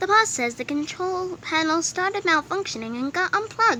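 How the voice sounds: A woman's put-on character voice, extremely high in pitch, with a bright, sharp tone, lively intonation and a moderate pace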